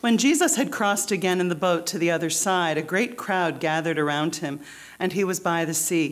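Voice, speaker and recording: An ordinary speaking voice from a woman, fairly low in pitch, at a fairly quick pace with ordinary pitch variation. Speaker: church preacher. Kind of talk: scripture reading.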